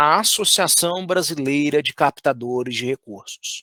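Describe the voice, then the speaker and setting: A man with a Minas Gerais accent speaks with lively intonation in a dry, close sound with no echo. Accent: Minas Gerais accent, unchanged. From Brazil, Minas Gerais. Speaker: fundraising trainer. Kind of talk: online course lecture.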